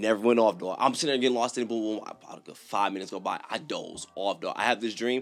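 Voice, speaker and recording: A man at medium pitch, very fast with hardly any pauses, ordinary pitch variation, and big swings in loudness. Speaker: YouTuber reacting to horror stories. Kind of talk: casual storytelling. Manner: animated.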